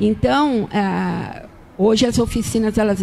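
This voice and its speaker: A woman with a fairly high pitch and ordinary pitch variation at a very slow pace, with noticeable background noise. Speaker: marketing agency executive. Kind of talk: podcast interview.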